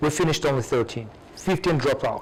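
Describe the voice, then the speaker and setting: With a Russian accent, a man talks at a fairly quick pace, his pitch fairly high with ordinary variation. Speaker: academic with PhD. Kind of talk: audience Q&A. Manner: hesitant, repetitive.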